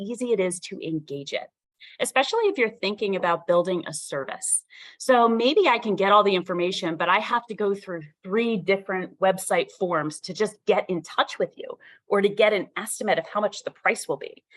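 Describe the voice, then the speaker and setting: Using a normal speaking voice, a woman talks at a medium pitch and moderate pace with lively intonation. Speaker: subject matter expert speaker on entrepreneurial marketing. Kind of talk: workshop lecture.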